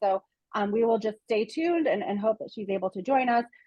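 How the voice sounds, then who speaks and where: A woman speaks with an American accent in a fairly high voice. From United States. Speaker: nonprofit president and webinar host. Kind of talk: webinar introduction. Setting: Zoom webinar. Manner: hesitant, many fillers.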